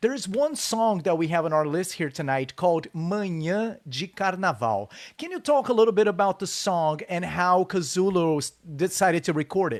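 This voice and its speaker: With a Brazilian accent, a man talks at a moderate pace, his high pitch carried by lively intonation, on a very clean recording with a silent background. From Brazil, São Paulo. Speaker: live show host. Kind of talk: casual interview. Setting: Facebook live stream.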